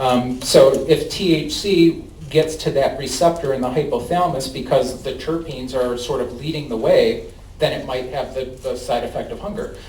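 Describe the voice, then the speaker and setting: Speaking at a moderate pace, a man has a Chicago accent. Audible room echo and noticeable background noise surround his voice. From US Midwest, Chicago. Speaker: cannabis company outreach representative. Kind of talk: presentation and audience Q&A. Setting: public meeting with audience.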